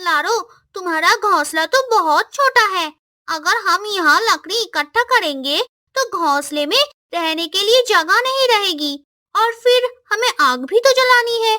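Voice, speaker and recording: A female-sounding cartoonish character voice speaks at an extremely high pitch and a fairly slow pace. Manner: bossy, scolding.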